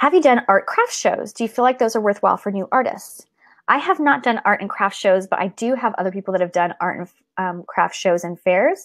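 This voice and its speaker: With lively intonation and an animated tone, a woman speaks at a fairly quick pace and a medium pitch. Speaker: artist and creativity coach. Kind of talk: live stream Q&A. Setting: live video stream. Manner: fast.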